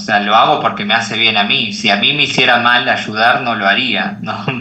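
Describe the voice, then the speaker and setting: The speech comes in an Argentine accent, with audible room echo. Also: man. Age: 20s. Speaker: life coach. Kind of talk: podcast interview.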